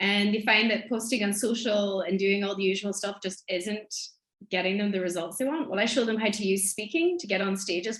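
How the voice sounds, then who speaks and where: A woman with a strong Irish accent, medium pitch and a fairly quick pace. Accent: thick Irish. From Ireland, Donegal. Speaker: business mentor and speaker. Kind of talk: podcast interview.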